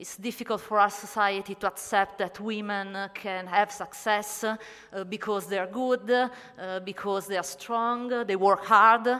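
A woman with an Italian accent, fairly slow and fairly even in intonation, with hardly any pauses and big swings in loudness. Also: medium pitch for a woman. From Italy. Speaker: astronomer and writer. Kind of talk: panel talk at a convention. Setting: convention stage panel. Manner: hesitant, non-native English.

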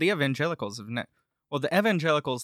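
A man with a Southern US accent speaks in a bright, sharp tone with lively intonation. The recording is very clean and silent behind him, with a dry, close sound and no echo. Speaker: podcast host. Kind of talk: casual chat. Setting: studio.

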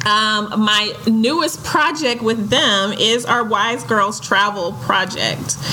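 A very slow woman's voice, fairly high in pitch, with lively intonation, very even loudness and hardly any pauses, plus audible room echo and noticeable background noise. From West Texas (Midland). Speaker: travel network founder. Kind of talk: casual chat.

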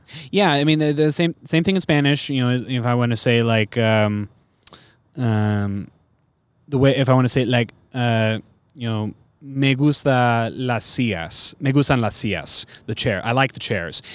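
With an American accent, a man speaks in a plain, everyday voice at a medium pitch and moderate pace, on a very clean recording with a silent background. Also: ordinary pitch variation. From US West Coast, San Francisco Bay Area. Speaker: stand-up comedian. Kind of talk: casual chat.

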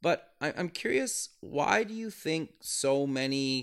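In an unremarkable speaking voice, a man with a fairly high pitch and lively intonation is heard on a very clean recording with a silent background. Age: 30s. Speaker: podcast host. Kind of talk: interview.

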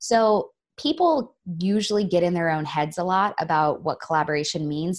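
Here a woman talks with an ordinary speaking voice at a moderate pace. Her pitch varies in an ordinary way, and the recording is very clean with a silent background. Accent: American. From Florida. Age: 30s. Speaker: collaboration consultant. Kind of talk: interview.

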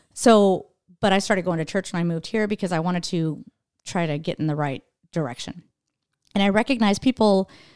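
A normal speaking voice with an American accent, ordinary pitch variation and a fairly quick pace, dry and close with no echo, on a very clean recording with a silent background. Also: woman. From Idaho. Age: 40s. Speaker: stand-up comedian. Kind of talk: casual chat.

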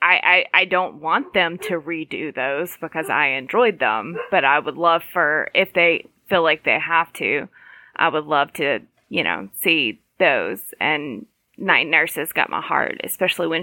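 With vocal fry and a fairly low pitch, a woman talks at a fairly slow pace and ordinary pitch variation. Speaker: podcast co-host. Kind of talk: casual chat.

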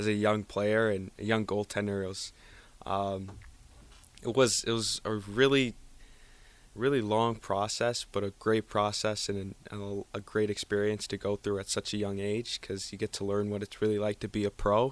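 With an American accent, a man talks at a moderate pace in a fairly low, monotone, flat voice, recorded very cleanly over a silent background. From Colorado, US. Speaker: junior hockey goaltender. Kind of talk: interview. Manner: halting.

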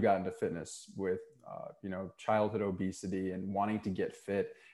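A man's fairly low-pitched, a normal speaking voice at a moderate pace, on a very clean recording with a silent background. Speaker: podcast host, author, health coach. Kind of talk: interview with scripted intro.

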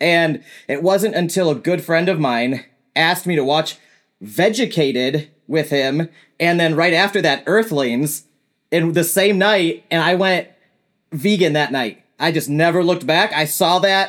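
In a very clean recording with a silent background, a man with an American accent speaks at a fairly slow pace and high pitch, with ordinary pitch variation and very even loudness. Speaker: animal sanctuary owner and software engineer. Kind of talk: casual chat. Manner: energetic.

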